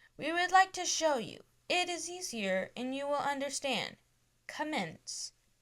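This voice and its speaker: Putting on a robotic character voice, a woman speaks at a high pitch and a moderate pace. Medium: read story. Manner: each word jarringly distinct.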